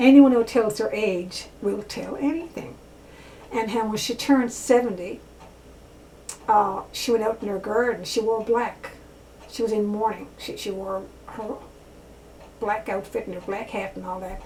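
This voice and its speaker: A woman with a fairly high voice speaks at a moderate pace with ordinary pitch variation and long, frequent pauses, in a room with audible echo and noticeable background noise. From rural area. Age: 70s. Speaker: author and vlogger. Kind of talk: casual monologue vlog. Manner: halting, many fillers.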